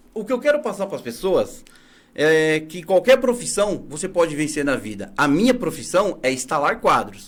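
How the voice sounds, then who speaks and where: Pitched high, a man's voice leaps up and down across an extremely wide range. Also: moderate pace. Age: 40s. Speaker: entrepreneur, picture installer. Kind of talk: interview.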